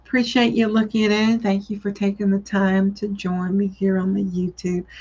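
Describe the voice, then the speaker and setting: Speaking fairly slowly in a Southern US accent, a woman has a medium pitch and a somewhat breathy sound. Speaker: psychic medium. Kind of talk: live-stream psychic reading. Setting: live video stream.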